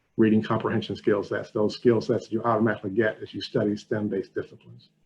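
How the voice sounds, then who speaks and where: Somewhat breathy and fairly low-pitched, a man rushes along at a very fast pace in a monotone, flat intonation. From US South, Alabama. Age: 60s. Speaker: corporate education outreach manager. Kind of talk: webinar presentation.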